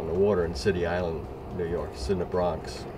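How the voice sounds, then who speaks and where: Amid audible room echo and noticeable background noise, a man speaks at a moderate pace in a very deep, low pitch. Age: 70s. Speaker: sailing school owner. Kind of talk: interview. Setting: outdoors. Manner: halting.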